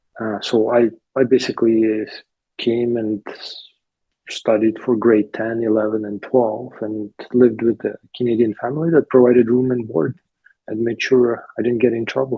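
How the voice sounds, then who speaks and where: In a Ukrainian accent, a man speaks at a medium pitch and moderate pace with a monotone, flat intonation. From Ukraine. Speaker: interviewee, immigrant. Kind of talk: interview. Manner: halting, many fillers.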